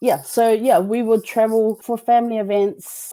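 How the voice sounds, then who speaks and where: A woman speaks with a New Zealand accent. Her tone is dark and mellow. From New Zealand, Samoan community. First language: Samoan. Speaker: teacher and podcaster. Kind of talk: interview. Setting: video call. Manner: casual, conversational with fillers.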